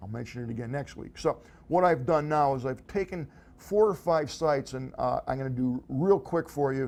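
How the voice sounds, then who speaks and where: Here a man is speaking. His pitch is fairly high. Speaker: tech gadget show host. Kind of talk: casual tech show monologue. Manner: fast.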